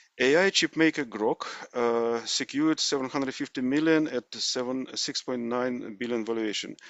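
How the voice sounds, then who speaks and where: A man's medium-pitched voice at a moderate pace, with ordinary pitch variation and hardly any pauses. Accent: Russian. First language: Russian. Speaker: AI news presenter. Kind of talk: tech news roundup. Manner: halting, many fillers.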